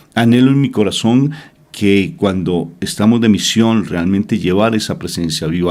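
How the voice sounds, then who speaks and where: A man with a Colombian accent talks with lively intonation. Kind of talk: religious reflection. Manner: emotive.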